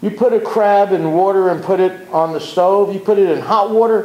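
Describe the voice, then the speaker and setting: A man speaks at a moderate pace with a high pitch for a man and a flat, monotone delivery. Noticeable background noise and audible room echo are present. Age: 60s. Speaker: community activist. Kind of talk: public talk. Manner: impassioned.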